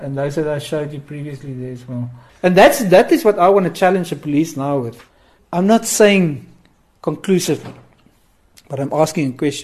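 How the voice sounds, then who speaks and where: A man's somewhat breathy voice with big shifts in loudness, long and frequent pauses, and ordinary pitch variation. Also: fairly high pitch for a man, moderate pace. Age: 40s. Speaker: amateur detective. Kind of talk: interview. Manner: urgent; halting.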